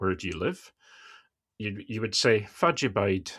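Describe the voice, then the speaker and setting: In a very clean recording over a silent background, a man speaks at a fairly low pitch with a slight Scottish accent. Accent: mild Scottish. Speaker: cybersecurity analyst and podcast co-host. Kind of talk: casual chat.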